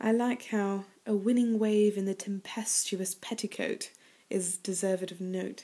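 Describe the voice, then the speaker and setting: A woman with a British accent talks at a fairly slow pace in a monotone, flat intonation. Her tone is dark and mellow, yet playful. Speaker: poetry reader and commentator. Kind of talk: casual talk to camera, chatty commentary. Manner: playful, conversational, hesitant with fillers. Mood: playful, amused. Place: home room. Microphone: webcam.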